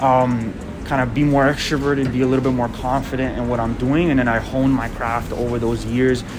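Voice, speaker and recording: A man with a non-native accent speaks at medium pitch and a fairly quick pace in a monotone, flat intonation. Noticeable background noise and audible room echo surround him. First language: not English. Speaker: media brand founder. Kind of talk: casual interview.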